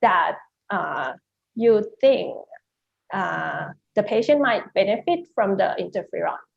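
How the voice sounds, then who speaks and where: A woman in a Thai accent talks at a very slow pace with vocal fry and long, frequent pauses. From Thailand. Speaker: neurosurgeon. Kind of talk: panel discussion question.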